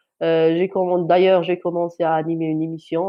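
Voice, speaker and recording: A woman's voice, fairly low in pitch. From Algeria, Kabylie. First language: Kabyle (Amazigh) (speaking French). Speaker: journalist. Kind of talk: testimony. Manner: halting, many hesitations and repetitions.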